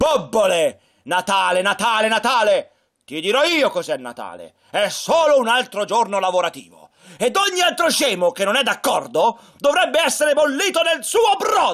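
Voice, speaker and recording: A man shouting in a gruff put-on character voice at an extremely high pitch, moderate pace. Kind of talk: puppet show acting for children. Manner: gruff, scolding, shouting.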